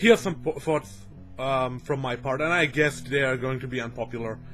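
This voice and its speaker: Over music in the background, a man talks at a fairly quick pace and medium pitch. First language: German. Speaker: video game commentator. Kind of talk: casual video commentary. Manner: halting, many fillers.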